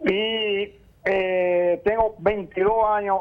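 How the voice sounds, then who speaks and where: Speech comes from a man at a very slow rate. The pitch shifts in an ordinary way. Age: 60s. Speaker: caller. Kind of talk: radio call-in question. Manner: halting.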